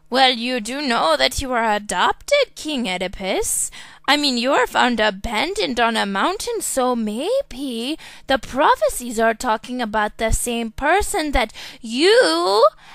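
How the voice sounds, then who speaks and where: A woman's put-on character voice, high-pitched, with lively intonation at a fairly slow pace. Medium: comedy sketch.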